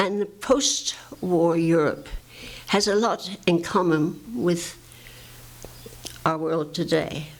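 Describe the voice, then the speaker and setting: A woman speaks at a very slow pace with a fairly low pitch. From England. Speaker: advocate for the homeless. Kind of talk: oral history talk to audience.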